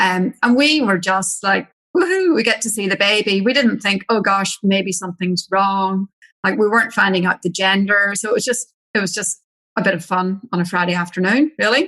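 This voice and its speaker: A bright, sharp tone in an Irish accent, with a dry, close sound and no echo. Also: woman, medium pitch for a woman, ordinary pitch variation, moderate pace. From Ireland. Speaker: naturopath and mother. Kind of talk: personal story in podcast interview. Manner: casual, many fillers.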